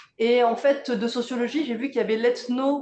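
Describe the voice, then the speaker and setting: Here a woman speaks with a fairly high pitch and a dark, mellow tone. Her pace is moderate. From southeastern France, Provence village near Draguignan. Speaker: theatre director and playwright. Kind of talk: public interview conversation. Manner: hesitant, many fillers and restarts.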